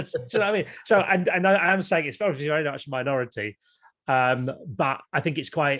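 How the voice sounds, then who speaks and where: With an English accent, a man speaks at a fairly quick pace using lively intonation. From Kent, England. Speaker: YouTuber and former TV presenter. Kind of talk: podcast interview. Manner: animated.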